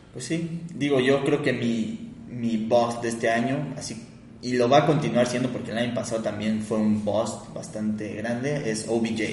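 Amid noticeable background noise and audible room echo, a man talks at a fairly slow pace with a medium pitch and fairly even intonation. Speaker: podcast co-host. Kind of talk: casual chat.

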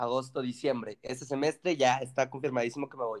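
With a Mexican accent, a man speaks in a dry, close sound with no echo. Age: 20s. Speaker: engineering student. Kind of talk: casual chat.

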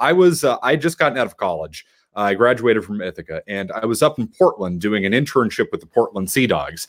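A man with an American accent talks very fast at a medium pitch, his pitch swinging very widely, in a very clean recording with a silent background. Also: dry, close sound with no echo. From Boston area, South Shore. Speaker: sports radio host. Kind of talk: casual chat.

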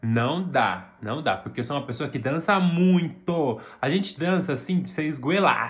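A man's fairly high, somewhat breathy, animated voice with lively intonation, fairly slow yet with hardly any pauses. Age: 20s. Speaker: podcast co-host. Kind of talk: casual chat.

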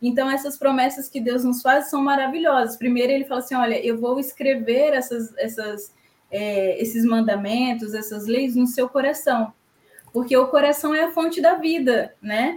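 A woman talks at a high pitch with ordinary pitch variation. Her pace is moderate. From Espírito Santo, Brazil. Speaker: church youth leader. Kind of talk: Bible study discussion.

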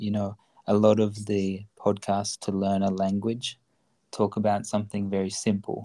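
Speaking very slowly with an Australian accent, a man uses a fairly low pitch and a dark, mellow tone. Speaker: podcast host, language learning. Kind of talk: casual bilingual conversation.

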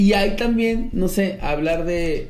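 A man's high-pitched voice with audible room echo and music in the background. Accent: Mexican. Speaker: podcast host. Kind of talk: casual chat.

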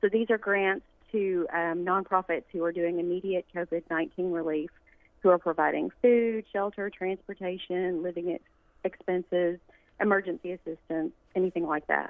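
At a moderate pace and medium pitch, a woman speaks in an unremarkable speaking voice with fairly even intonation. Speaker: nonprofit foundation staffer. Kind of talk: interview.

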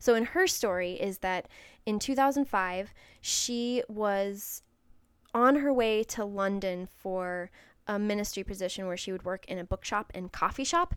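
A woman with a northern US accent speaks at a fairly slow pace in a medium pitch with ordinary pitch variation. The recording is very clean, with a silent background. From Wisconsin, US Midwest. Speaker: podcast host.

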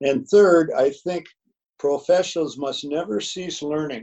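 The speaker has an Upper Midwest accent. The pace is moderate. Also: man. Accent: Upper Midwest (Minnesota). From Minnesota, north of Minneapolis. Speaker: retired high school football coach. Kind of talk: interview. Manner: halting, many fillers.

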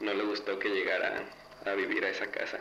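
Noticeable background noise sits under the voice, and room echo is audible. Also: man. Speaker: student sharing paranormal story. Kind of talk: testimony.

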